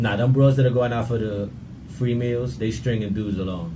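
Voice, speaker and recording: Against noticeable background noise, a man with a fairly low voice talks at a moderate pace, his pitch varying in an ordinary way. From Brooklyn, Bushwick. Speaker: guest. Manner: loud, upfront.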